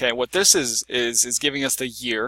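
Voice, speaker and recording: The sound is dry and close with no echo, on a very clean recording with a silent background. A man speaks at a medium pitch with a bright, sharp tone. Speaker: software tutorial creator. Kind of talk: screen-recorded tutorial. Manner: fast; casual with fillers.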